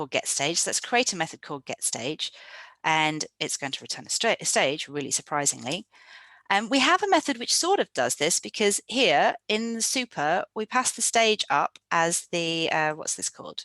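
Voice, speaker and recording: Against a quiet background, a woman with an English accent speaks in a bright, sharp tone with very wide pitch swings. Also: dry, close sound with no echo. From England. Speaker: software developer and conference speaker. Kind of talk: live coding presentation. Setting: virtual meetup video session.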